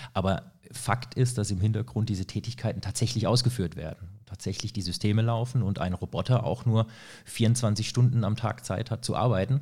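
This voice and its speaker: A man speaks at a moderate pace and medium pitch, his dark, mellow tone somewhat breathy, with ordinary pitch variation on a very clean recording against a silent background. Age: 30s. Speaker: energy consultant. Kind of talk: casual chat. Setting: studio.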